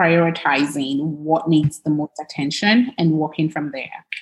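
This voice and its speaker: At a fairly slow speed, the somewhat breathy voice shows ordinary pitch variation. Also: woman. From Nigeria, Lagos. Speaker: tech startup CEO and working mother. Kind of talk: casual interview chat. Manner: frequent fillers and hesitations.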